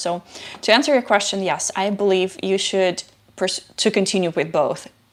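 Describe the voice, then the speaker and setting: With a non-native accent, a woman speaks at a fairly low pitch. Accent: foreign. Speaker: software engineer, tech YouTuber. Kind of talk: live stream Q&A. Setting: live stream. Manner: halting, many fillers. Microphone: new microphone, some static.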